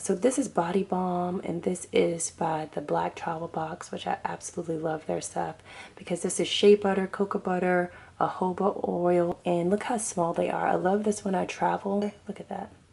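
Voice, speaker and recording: In a plain, everyday voice, a woman talks at a moderate pace with fairly low pitch and fairly even intonation. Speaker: beauty and hair vlogger. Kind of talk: casual vlog.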